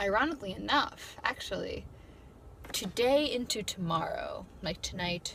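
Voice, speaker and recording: With noticeable background noise behind her, a woman speaks at medium pitch and a moderate pace, her pitch swinging very widely. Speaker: YouTuber, college student. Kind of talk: casual vlog talk. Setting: in her car. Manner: halting, off the cuff.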